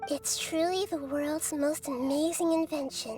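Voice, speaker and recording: Over clear background music, a female-sounding, put-on character voice speaks at a moderate pace with a high pitch. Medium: game stream. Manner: earnest, emotional.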